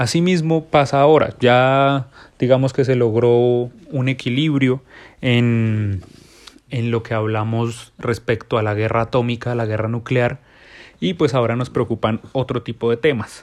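A man speaks fairly slowly, his medium pitch carried by fairly even intonation. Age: 20s. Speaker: podcast host. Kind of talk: solo monologue.

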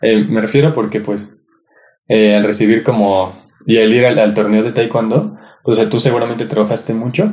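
With a Mexican accent, a man speaks at a moderate pace and medium pitch, his intonation fairly even, in a room with audible echo. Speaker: podcast co-host. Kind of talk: casual chat.

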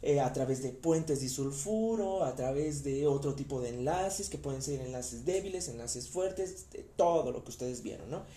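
A man talks with fairly high pitch and ordinary pitch variation. Room echo can be heard. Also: moderate pace, hardly any pauses. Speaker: anatomy lecturer. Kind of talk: lecture. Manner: stammers when talking long.

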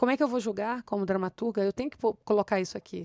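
A woman speaks at a medium pitch and a very fast pace. The recording is very clean with a silent background and a dry, close sound with no echo. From Rio de Janeiro, Brazil. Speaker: playwright. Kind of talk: interview.

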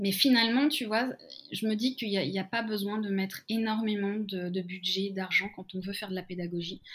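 Here a woman speaks at a medium pitch and a fairly quick pace. Her intonation stays fairly even. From France, Lyon. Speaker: learning facilitator. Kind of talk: interview. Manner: halting, many repetitions.

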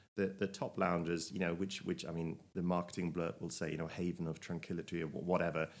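Over a very clean recording with a silent background, a man with a very deep, low pitch talks at a very fast pace. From Germany. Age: 40s. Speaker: travel enthusiast. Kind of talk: casual chat. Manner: halting, repeats words.

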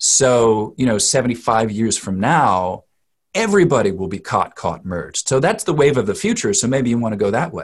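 This man's voice sits at a medium pitch. His pitch swings very widely. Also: moderate pace. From US Northeast. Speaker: dialect coach. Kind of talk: interview. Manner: halting, many fillers.

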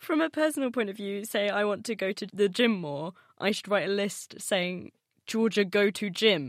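A woman with an ordinary speaking voice at medium pitch, moderate pace and lively intonation, on a very clean recording with a silent background. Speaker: science radio show presenter. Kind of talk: radio science magazine hosting and interviewing.

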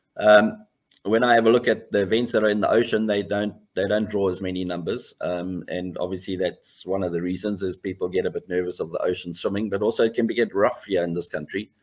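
A man speaks at a very fast pace, his fairly low pitch kept in fairly even intonation. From South Africa, Pietermaritzburg. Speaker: swimming coach. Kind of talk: interview. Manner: halting.

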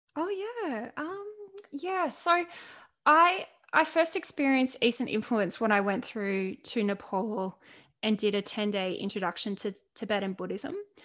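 This woman talks at a fairly slow pace in a fairly high voice, her pitch swinging very widely. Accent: Australian. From Australia (Central Coast, New South Wales). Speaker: author and mental health speaker. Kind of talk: podcast interview.

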